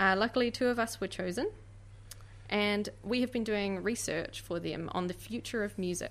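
The speaker uses a New Zealand accent, with a moderate pace and ordinary pitch variation. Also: woman, medium pitch for a woman. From New Zealand, grew up in Oamaru. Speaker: museum and gallery worker, K-pop fan. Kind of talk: radio interview.

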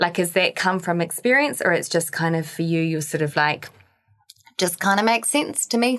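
A woman speaks with a New Zealand accent at a fairly low pitch. Her intonation is lively and her loudness very even. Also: moderate pace. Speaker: podcast co-host, fitness professional. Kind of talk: casual chat. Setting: studio.

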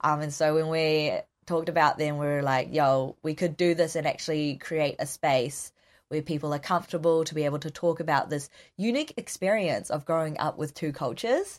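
A woman with a New Zealand accent speaks at a very deep, low pitch and a fairly quick pace, with fairly even intonation. The recording is very clean, with a silent background. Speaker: counselling student. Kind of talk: interview.

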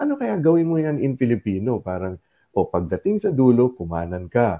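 This man's pitch swings very widely as he talks at a moderate pace. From Philippines, Zamboanga, Mindanao. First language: Chabacano (speaking Tagalog). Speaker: community radio host. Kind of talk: interview; show announcement.

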